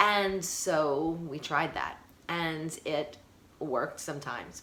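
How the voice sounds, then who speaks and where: In a New York accent, a woman speaks at a very deep, low pitch with fairly even intonation and audible room echo. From Brooklyn, New York. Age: 40s. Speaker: high school teacher and mental health vlogger. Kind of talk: personal storytime vlog. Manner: fast.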